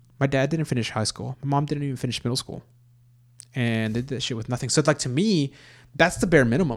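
A man with an American accent talks at a very fast pace, his pitch medium with ordinary variation. The recording is very clean, with a silent background. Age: 30s. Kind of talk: casual chat over drinks.

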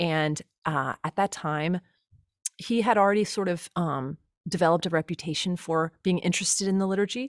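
Her voice is an unremarkable speaking voice, fairly low in pitch with ordinary variation and a fairly quick pace. The woman is heard in a very clean recording with a silent background and a dry, close sound with no echo. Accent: American. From US Midwest, Cincinnati area. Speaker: liturgist and musician, podcast co-host. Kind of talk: casual interview.

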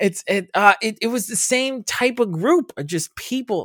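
With an American accent, the speaker keeps a moderate pace, the sound dry and close with no echo. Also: man. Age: 30s. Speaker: podcast host. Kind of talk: casual chat.

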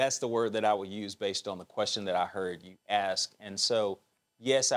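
Speaking at a moderate pace, a man with an Alabama accent has a fairly low-pitched voice. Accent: Southern US (Alabama). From Alabama, US South. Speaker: bank executive and author. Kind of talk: interview.

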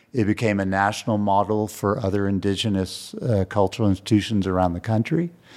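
On a very clean recording with a silent background, a man with an unremarkable speaking voice and an American accent speaks at a fairly low pitch with fairly even intonation. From Texas, San Antonio. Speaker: museum foundation executive. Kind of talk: interview.

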